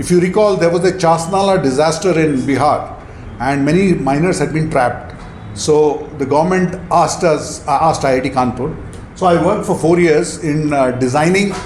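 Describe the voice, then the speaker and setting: Audible room echo and noticeable background noise surround a man with a fairly high pitch and ordinary pitch variation. His loudness stays very even. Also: moderate pace. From India. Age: 60s. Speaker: entrepreneur and mentor. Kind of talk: talk to audience. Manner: halting.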